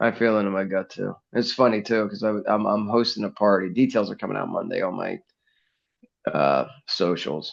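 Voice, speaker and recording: A man with an American accent, fairly low pitch and ordinary pitch variation, at a moderate pace over a quiet background. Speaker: NFL podcaster and sports commentator. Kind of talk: casual podcast chat. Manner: calm, measured.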